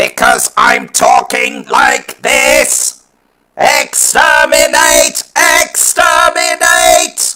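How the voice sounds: A high-pitched, put-on character voice. It moves at a very slow pace.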